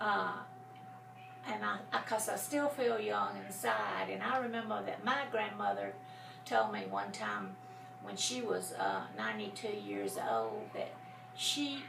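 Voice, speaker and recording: A woman's very slow speech with audible room echo and noticeable background noise. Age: 60s. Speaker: grandmother interviewed for school project. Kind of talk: casual interview. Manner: halting, many fillers.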